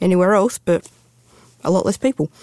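A woman speaks with an Australian accent. The sound is dry and close with no echo. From Western Australia, Perth. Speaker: farmer and mine worker. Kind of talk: interview storytelling.

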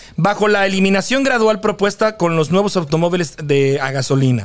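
A man talks with lively intonation. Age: 40s. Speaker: podcast host. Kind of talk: reading aloud news; casual chat. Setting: studio.

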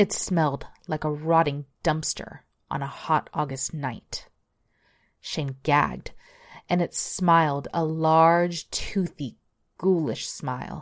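A woman with a very deep, low pitch speaks very slowly in a dramatic tone, her intonation fairly even and her pauses long and frequent. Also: quiet background. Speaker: horror story narrator. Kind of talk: scripted horror ghost-story narration, read aloud. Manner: building suspense, dark and dramatic delivery of gruesome details; measured storyteller's pace, lingering on ominous lines.

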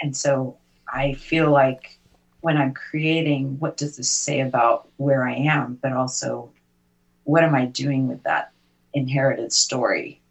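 A woman with a very deep, low voice speaks at a fairly slow pace in a monotone, flat intonation. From Britain. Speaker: poet and visual artist. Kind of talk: casual chat.

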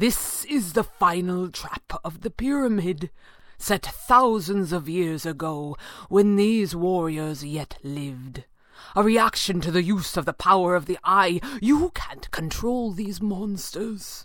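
A woman's put-on character voice, medium in pitch, at a fairly slow pace. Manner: grave, urgent, clipped upper-class.

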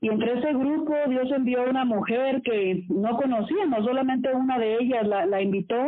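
A woman talks at a moderate pace with a high pitch, ordinary pitch variation and hardly any pauses. Noticeable background noise sits behind her. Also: very even loudness. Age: 40s. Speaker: radio host. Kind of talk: casual chat.

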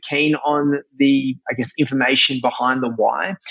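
With an Australian accent, a man talks at a moderate pace. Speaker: chef and restaurateur. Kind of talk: casual interview. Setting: remote call.

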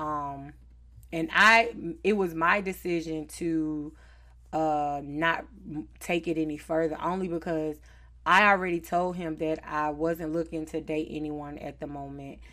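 With a Southern US accent, a woman speaks in a bright, sharp tone at a fairly low pitch, fairly slow pace and fairly even intonation, on a very clean recording with a silent background. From Charlotte, North Carolina. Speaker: podcast host. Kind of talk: casual chat.

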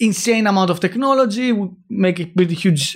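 Speaking with a Greek accent, a man with a high pitch and ordinary pitch variation keeps a moderate pace on a very clean recording with a silent background. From Greece. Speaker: startup founder. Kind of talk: interview.

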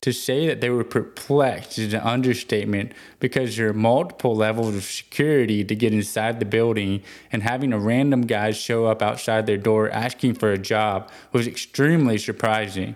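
On a very clean recording with a silent background, a man with an American accent and a plain, everyday voice speaks at medium pitch and a moderate pace, with fairly even intonation and hardly any pauses. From Texas (Houston). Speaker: podcast host and fishing-products founder. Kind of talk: scripted narration.

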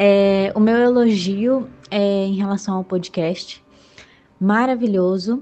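Her voice sits at a medium pitch, rising and falling only a little. The woman speaks very slowly. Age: 20s. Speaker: listener sending audio message. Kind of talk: recorded voice message.

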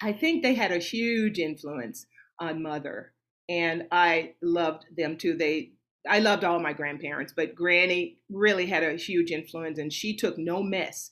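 An unremarkable speaking voice with an American accent, ordinary pitch variation and a fairly slow pace, in a very clean recording with a silent background. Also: woman. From US South, Nashville, Tennessee. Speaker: opera singer. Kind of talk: casual interview.

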